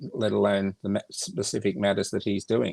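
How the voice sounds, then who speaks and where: A man speaks with an Australian accent. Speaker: foundation organizer. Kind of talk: casual interview. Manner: halting.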